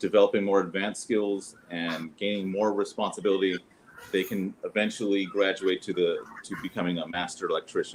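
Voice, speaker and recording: At a moderate pace, the voice comes through with an American accent. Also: man. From US South. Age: 40s. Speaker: former Freemason lodge master. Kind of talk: interview explanation. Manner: halting.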